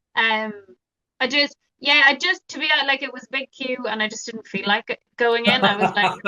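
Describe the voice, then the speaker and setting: A fairly quick pace carries the speech. Its tone is bright and sharp, and the pitch varies in an ordinary way. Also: woman, high pitch for a woman, big swings in loudness, dry, close sound with no echo. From Ireland, Dublin. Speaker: mindfulness teacher and author. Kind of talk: podcast interview. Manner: conversational, hesitant fillers.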